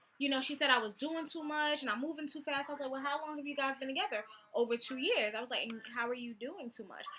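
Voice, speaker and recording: A woman speaks very fast in a raised, projected voice, high-pitched with ordinary pitch variation and a bright, sharp tone. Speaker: vlogger. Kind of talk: casual storytelling vlog. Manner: animated.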